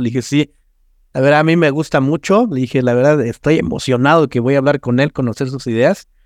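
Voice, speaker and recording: Talking at a fairly quick pace, a man uses a Mexican accent and a fairly high pitch with ordinary variation. The sound is dry and close, with no echo. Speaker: podcast host, architect. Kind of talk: interview. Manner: casual, animated.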